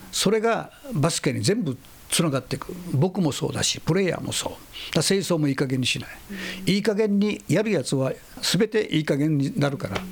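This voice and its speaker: Amid noticeable background noise, a man talks at a fairly quick pace in a high voice with lively intonation. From Okinawa, northern rural village. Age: 60s. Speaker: basketball coach. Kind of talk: interview. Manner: animated.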